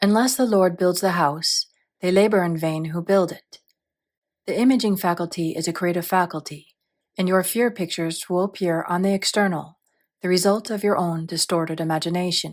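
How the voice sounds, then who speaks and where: A woman with an unremarkable speaking voice talks at medium pitch with fairly even intonation on a very clean recording with a silent background. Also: fairly quick pace. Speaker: audiobook narrator. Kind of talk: audiobook reading of a spiritual text.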